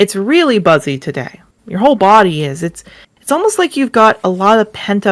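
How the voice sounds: A natural reading voice, nothing more.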